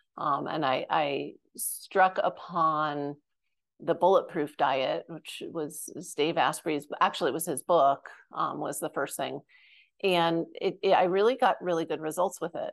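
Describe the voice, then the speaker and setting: A woman with a fairly low pitch and an ordinary speaking voice talks at a fairly slow pace with ordinary pitch variation against a quiet background. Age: 50s. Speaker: functional medicine autoimmune coach. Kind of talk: casual interview.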